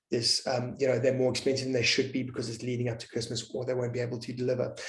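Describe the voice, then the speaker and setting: In a somewhat breathy voice at medium pitch, a man speaks with monotone, flat intonation amid audible room echo. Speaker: webinar speaker, marketing expert. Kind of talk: webinar presentation. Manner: fast; halting, many fillers and repetitions.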